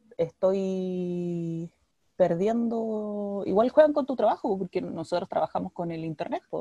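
Her voice has a dark, mellow tone at a medium pitch for a woman, delivered at a very slow pace. The sound is dry and close, with no echo. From Chile, Valparaíso region (Villa Alemana). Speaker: podcast co-host. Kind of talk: casual chat. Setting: video call.

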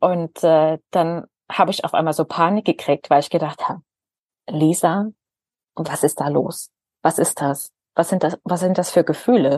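The speech moves at a moderate pace with fairly even intonation and long, frequent pauses. The sound is dry and close, with no echo. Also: woman, fairly low pitch for a woman. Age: 30s. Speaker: former Jehovah's Witness sharing her story. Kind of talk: interview testimony.

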